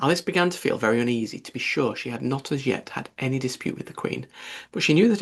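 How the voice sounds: This is a natural reading voice. It is heard throughout the clip.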